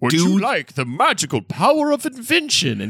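A man uses a put-on character voice, talking at a moderate pace in a high pitch. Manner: mystical, theatrical.

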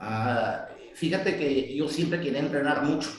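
A man's fairly high voice with audible room echo. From Mexico, Tijuana. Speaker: martial arts coach. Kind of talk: interview.

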